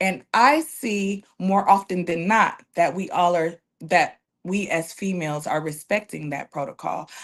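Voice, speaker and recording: A woman with an American accent speaks at a fairly slow pace and medium pitch. Her tone is animated, with ordinary pitch variation. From Los Angeles, California. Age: 40s. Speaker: barber. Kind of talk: casual chat.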